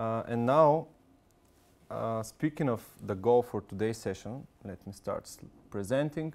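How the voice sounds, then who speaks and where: On a very clean recording with a silent background, a man with a non-native accent speaks at medium pitch, with ordinary pitch variation and big swings in loudness. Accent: foreign. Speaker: software consultant presenter. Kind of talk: product presentation. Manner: fast.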